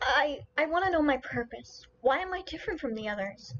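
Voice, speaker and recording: Using a put-on character voice, a woman talks at a fairly quick pace in a high pitch. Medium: read story. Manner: stammering, hesitant.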